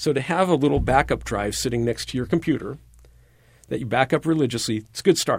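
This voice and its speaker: In a very clean recording with a silent background, a man of medium pitch talks at a very fast pace with vocal fry and ordinary pitch variation. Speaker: college professor, IT department chair. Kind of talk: interview. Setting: studio.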